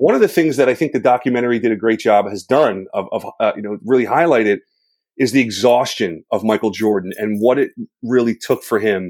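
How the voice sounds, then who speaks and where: A man talks in a plain, everyday voice at a medium pitch. His pace is moderate, his pitch variation ordinary, and the recording very clean with a silent background. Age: 40s. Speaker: high school teacher and coach. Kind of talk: casual interview.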